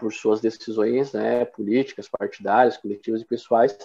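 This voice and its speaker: A man speaks at a moderate pace in a medium pitch, his tone dark and mellow and his intonation monotone and flat. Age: 30s. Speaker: city councillor. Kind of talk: interview.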